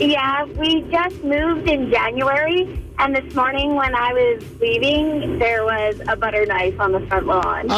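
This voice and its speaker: With music in the background, a woman with a high voice speaks fairly slowly, hardly pausing, her intonation lively and her loudness very even. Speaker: radio call-in listener. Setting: phone.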